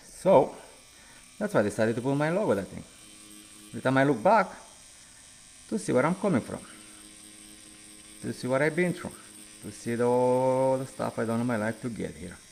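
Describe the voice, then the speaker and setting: This man speaks in a Romanian accent at a fairly quick pace, leaving long, frequent pauses. His loudness swings a lot, and his pitch swings very widely. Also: medium pitch for a man. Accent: Romanian accent, noticeable. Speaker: tattoo artist. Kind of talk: casual live stream chat while working.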